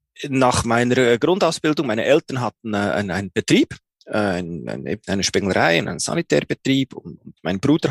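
Using a medium pitch, a man talks at a moderate pace with very wide pitch swings and vocal fry. The sound is dry and close, with no echo. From Switzerland, Bern. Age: 40s. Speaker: hearing aid acoustician, business owner. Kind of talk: interview. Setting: video call. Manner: halting, many fillers.

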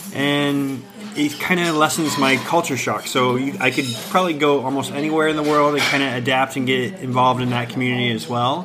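In an American accent, a man talks at a fairly quick pace with a fairly high pitch and fairly even intonation over noticeable background noise. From US Midwest and South, Ohio. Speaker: creative professional. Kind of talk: casual interview. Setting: cafe.

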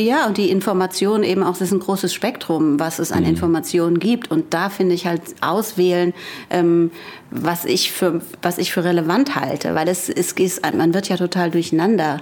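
Moderate pace, very even loudness and ordinary pitch variation. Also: woman, fairly low pitch for a woman. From Frankfurt am Main. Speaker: author and columnist. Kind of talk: casual chat. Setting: remote call from her home.

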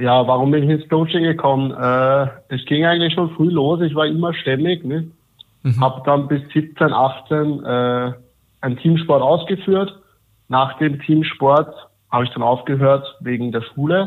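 Speaking at a fairly slow pace, a man with a normal speaking voice and a fairly high pitch keeps his intonation fairly even. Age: 20s. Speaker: coaching client, civil engineer. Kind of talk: interview testimony.

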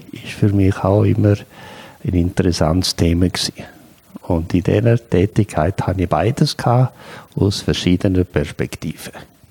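The speech comes at a fairly slow pace with ordinary pitch variation, the sound dry and close with no echo despite noticeable background noise. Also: man. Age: 60s. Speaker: career counselor, psychologist. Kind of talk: interview. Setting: his own place.

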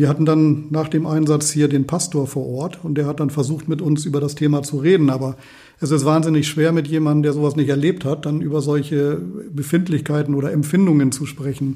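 His voice is fairly high-pitched for a man, dark and mellow in tone, somewhat breathy, with fairly even intonation. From Lower Saxony, Walsrode. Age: 50s. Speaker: volunteer firefighter. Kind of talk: interview.

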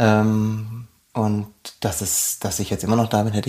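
A man's fairly low voice comes at a fairly slow pace. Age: 30s. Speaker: arctic nature guide. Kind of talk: interview. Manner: halting, frequent ums and repetitions.

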